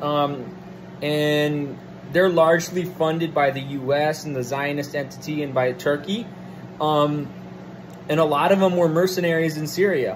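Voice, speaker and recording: Noticeable background noise runs behind a man who talks at a moderate pace and a fairly high pitch, with long, frequent pauses. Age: 20s. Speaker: political commentator. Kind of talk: solo monologue rant. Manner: animated; hesitant fillers. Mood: irritated, profane rant. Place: home room. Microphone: phone near.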